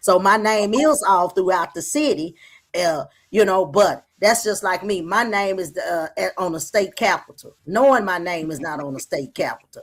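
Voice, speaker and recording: With an American accent and lively intonation, a woman speaks at a moderate pace and medium pitch. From Dallas, Texas. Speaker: caller. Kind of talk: casual chat. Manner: animated.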